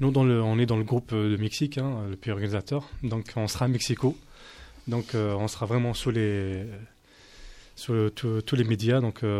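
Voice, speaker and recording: The voice has a dark, mellow tone and fairly even intonation. It moves at a very slow pace with long, frequent pauses. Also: man, medium pitch for a man. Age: 30s. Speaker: street soccer national team coach. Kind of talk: radio debate.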